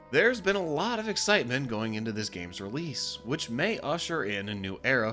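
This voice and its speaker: Over background music, a man speaks at a medium pitch with very wide pitch swings. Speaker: video game critic. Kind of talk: video essay narration.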